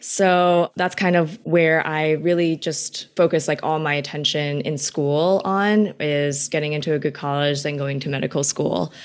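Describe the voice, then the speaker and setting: In an American accent, a woman speaks with a very deep, low pitch. Her intonation stays fairly even over a very clean recording with a silent background. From New York City, Queens. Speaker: business student and recipe creator. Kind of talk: casual interview.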